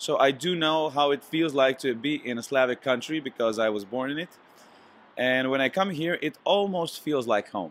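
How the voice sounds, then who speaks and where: Talking at a moderate pace, a man with a Slovenian accent has a fairly high pitch. His pitch varies in an ordinary way. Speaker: singer. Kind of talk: interview. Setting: hotel. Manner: hesitant, many fillers.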